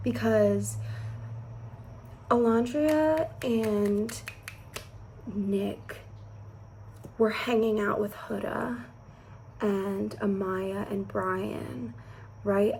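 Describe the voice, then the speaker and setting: There is audible room echo around this woman. She is soft-spoken and leaves long, frequent pauses. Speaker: beauty and reality TV vlogger. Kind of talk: casual chat. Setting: at home indoors.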